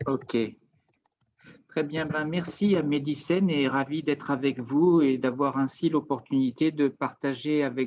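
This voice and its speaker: The man's pitch is fairly high, and his pace is very slow. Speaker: business consultant presenting on Japanese market. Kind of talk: webinar presentation. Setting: video call webinar.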